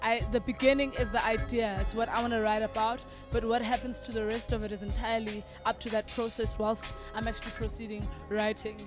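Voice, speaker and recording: Music plays in the background as a woman speaks. Her voice is fairly high, with monotone, flat intonation. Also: fairly quick pace. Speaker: spoken word poet. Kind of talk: interview answer.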